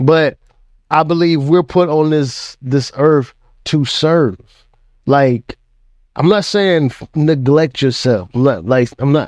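Very slow speech from a fairly high-pitched man, with long, frequent pauses, ordinary pitch variation and a quiet background. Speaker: podcast co-host with his wife. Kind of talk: casual chat.

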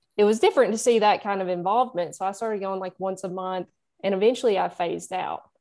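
A woman with a Southern US accent at a very fast pace, dark and mellow in tone, with fairly even intonation and big swings in loudness. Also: medium pitch for a woman. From Nashville, Tennessee. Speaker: musician. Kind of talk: casual interview chat.

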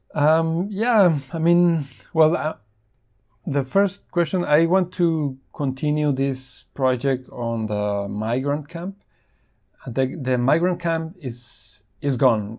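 Against a quiet background, a man with a Spanish accent speaks very slowly with lively intonation. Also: fairly high pitch for a man. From Mexico. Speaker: photojournalist. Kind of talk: interview. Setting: remote call. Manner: halting.

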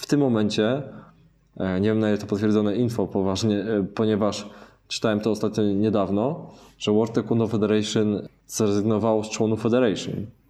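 This man's voice is dark and mellow, set fairly low. His intonation stays flat and monotone. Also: fairly quick pace. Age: 30s. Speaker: taekwondo and kickboxing instructor. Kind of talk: casual interview. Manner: halting, frequent self-corrections.

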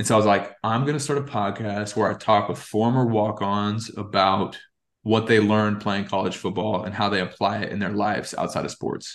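At a fairly quick pace, a man speaks in a fairly low voice. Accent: American. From Texas. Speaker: former college football player and podcaster. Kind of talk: casual interview chat. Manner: animated.

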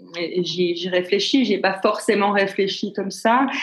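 Amid audible room echo, a woman speaks at a very slow pace with fairly even intonation. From Switzerland, Geneva. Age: 50s. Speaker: business consultant and coach. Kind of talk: interview. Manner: halting.

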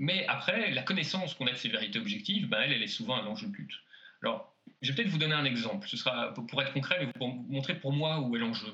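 Amid noticeable background noise, a man talks very fast at a fairly high pitch with very wide pitch swings. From French-speaking Belgium. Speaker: sociologist and author. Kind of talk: interview. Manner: halting with many repetitions.

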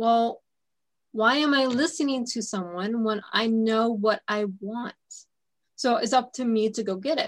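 A woman speaks at a fairly slow pace in a normal speaking voice, her pitch fairly high with ordinary variation. The recording is very clean, with a silent background. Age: 30s. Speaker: radio host. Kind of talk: interview.

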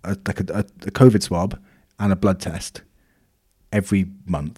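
With a Welsh accent, a man speaks at a moderate pace in a very deep, low pitch and a dark, mellow tone. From Wales. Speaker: podcast co-host. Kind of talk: casual chat.

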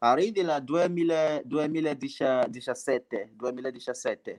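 At a very slow pace with long, frequent pauses, a man talks in a fairly high voice with ordinary pitch variation. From Nigeria. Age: 20s. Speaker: migrant sharing life story. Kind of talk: radio interview, testimony. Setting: remote call with unstable connection. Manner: halting.

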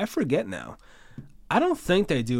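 The background is silent on this very clean recording. A man talks at a moderate speed. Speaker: sports podcast host. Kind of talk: solo sports preview. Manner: casual, filler-heavy.

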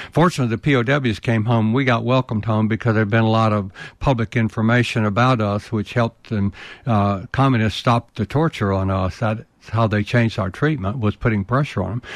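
With a Southern US accent, a man speaks at medium pitch and with fairly even intonation over a quiet background. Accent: Southern US (Georgia). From US South, rural Georgia. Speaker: war veteran and leadership consultant. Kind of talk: interview.

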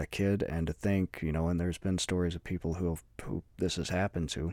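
A man speaks at a fairly quick pace with a very deep, low pitch and fairly even intonation, recorded very cleanly with a silent background and a dry, close sound with no echo. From Alabama. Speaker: podcast host. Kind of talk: solo monologue podcast. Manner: casual, many fillers.

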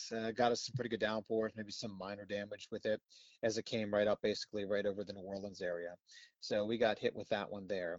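Very fast speech in a monotone, flat intonation. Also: man, fairly low pitch for a man. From Pennsylvania. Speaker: TV meteorologist. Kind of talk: casual interview.

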